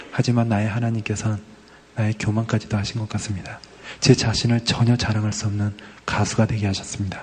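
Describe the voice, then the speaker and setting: Over noticeable background noise, a man talks very fast in a fairly low voice. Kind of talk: comedic casual chat. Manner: animated.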